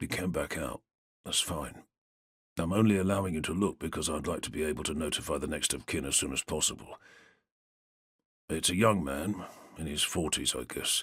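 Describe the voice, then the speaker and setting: A man puts on a gruff, raspy character voice, very deep and low, with a weary tone. He moves at a fairly quick pace with ordinary pitch variation. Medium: read story. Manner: gruff, weary.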